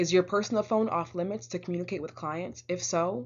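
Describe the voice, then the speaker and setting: Speaking at a moderate pace, a woman uses a fairly low voice with vocal fry. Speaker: college instructor. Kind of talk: recorded online lecture. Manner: occasional stutters and pauses; casual, lots of fillers.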